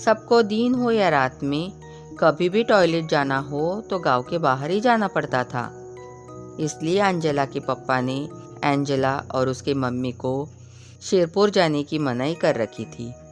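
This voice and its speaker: Over music in the background, a woman talks with lively intonation in a very deep, low pitch. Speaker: voice over artist. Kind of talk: horror story narration.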